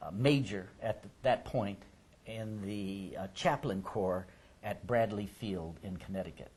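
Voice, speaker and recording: A man with an unremarkable speaking voice and fairly low pitch talks at a fairly slow pace, with ordinary pitch variation and big swings in loudness. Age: 60s. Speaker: oral history interviewer. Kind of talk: oral history interview.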